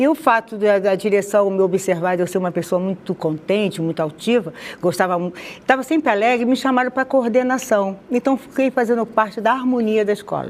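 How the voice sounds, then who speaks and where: A woman speaks in a Rio de Janeiro accent, fairly high in pitch with ordinary pitch variation. Her pace is fairly quick, and there is noticeable background noise. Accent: carioca. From Rio de Janeiro, Madureira. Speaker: interviewee sharing conversion testimony. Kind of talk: testimony interview.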